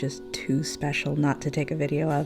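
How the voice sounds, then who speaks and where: A woman speaks in a gentle, calm tone with a very deep, low pitch and ordinary pitch variation. Music plays in the background. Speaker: yarn shop owner. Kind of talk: gentle narrated unboxing.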